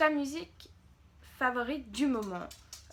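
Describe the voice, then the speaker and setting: A woman's high pitch with ordinary pitch variation. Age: 20s. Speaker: beauty youtuber. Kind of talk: casual Q&A vlog. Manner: hesitant, many fillers.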